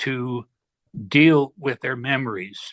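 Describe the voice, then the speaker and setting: Against a quiet background, a man's bright, sharp voice moves at a fairly slow pace with fairly even intonation. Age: 70s. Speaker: retired hypnosis practitioner; interview guest. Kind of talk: casual chat. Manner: halting. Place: home room. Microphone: laptop with glitches; video call.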